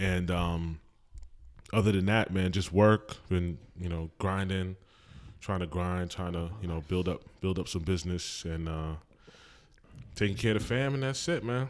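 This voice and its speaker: Long, frequent pauses break up a man's speech at a moderate pace. He has an American accent, a very deep, low pitch and ordinary pitch variation. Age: 40s. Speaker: podcast host. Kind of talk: casual chat.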